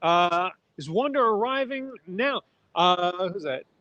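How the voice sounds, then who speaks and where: Very wide pitch swings in a man's speech. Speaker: livestream host. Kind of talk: casual live commentary. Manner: fast.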